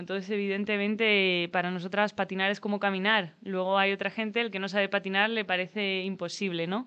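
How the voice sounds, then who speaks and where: Against a quiet background, a woman talks at a fairly quick pace with a medium pitch. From Spain, Asturias (Gijón). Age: 30s. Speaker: roller hockey player. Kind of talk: interview. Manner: halting.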